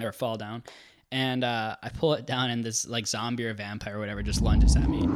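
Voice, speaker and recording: With an ordinary speaking voice, a man talks at medium pitch and a fairly quick pace, using ordinary pitch variation. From Twin Cities area, Minnesota, US. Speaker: podcast guest sharing dreams. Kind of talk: casual chat, storytelling. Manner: casual, jokey, filler-heavy.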